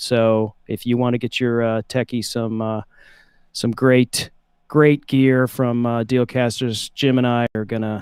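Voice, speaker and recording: In a dry, close recording with no echo, a man with a Southern US accent talks at a fairly slow pace in a monotone, flat intonation at a medium pitch. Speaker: livestream co-host. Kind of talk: casual chat. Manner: halting, many fillers.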